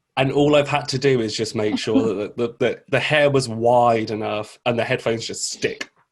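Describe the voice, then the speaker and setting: Here a man speaks with a British accent at a medium pitch. He talks with hardly any pauses. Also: moderate pace. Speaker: drag queen game show host. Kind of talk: live streamed comedy game show. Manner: halting.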